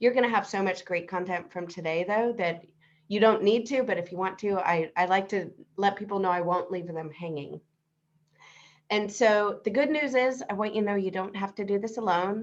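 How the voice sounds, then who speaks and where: A woman speaks at a medium pitch. Her pitch rises and falls in an ordinary way. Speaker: business coach presenter. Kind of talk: webinar presentation. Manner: fast.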